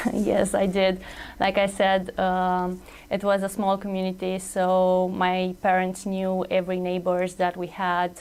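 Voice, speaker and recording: A woman at medium pitch, fairly slow and monotone, with flat intonation. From Romania. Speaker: pharmacist. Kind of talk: interview. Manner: hesitant.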